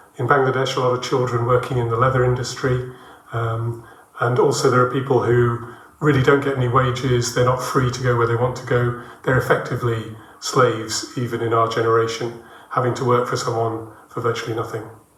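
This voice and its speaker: A man with a medium pitch talks at a fairly quick pace in a monotone, flat intonation. Audible room echo and noticeable background noise fill the recording. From England, Birmingham. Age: 60s. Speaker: international development worker, church member. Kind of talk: interview testimony.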